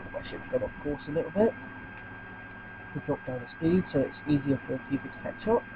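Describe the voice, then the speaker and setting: A man talking at a fairly quick pace against noticeable background noise. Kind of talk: gameplay commentary. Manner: casual, hesitant.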